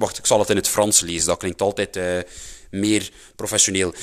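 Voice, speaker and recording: A man with a Flemish accent, in a very clean recording against a silent background. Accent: Flemish Dutch. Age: 20s. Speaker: podcast host. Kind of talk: casual monologue. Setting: at home.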